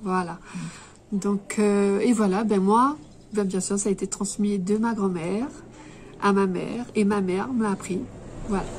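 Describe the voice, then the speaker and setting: Speaking at a fairly slow pace with long, frequent pauses, a woman uses a medium pitch and fairly even intonation. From Réunion (Cilaos). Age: 30s. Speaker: embroiderer and shop owner. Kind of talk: interview. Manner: hesitant, many fillers.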